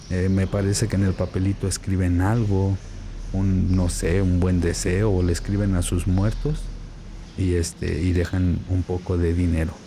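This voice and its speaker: A quiet man speaks at a fairly slow pace with a very deep, low pitch and monotone, flat intonation. His loudness stays very even, and audible room echo surrounds him. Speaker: Bible student and video commentator. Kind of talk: vlog commentary while filming. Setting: inside a church. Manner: speaking quietly.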